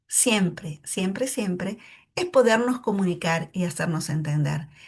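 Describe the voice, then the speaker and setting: Somewhat breathy and pitched in the medium range, a woman speaks at a moderate pace with very wide pitch swings against a quiet background. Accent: Argentine. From Argentina, Neuquén. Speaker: English teacher. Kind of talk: tutorial.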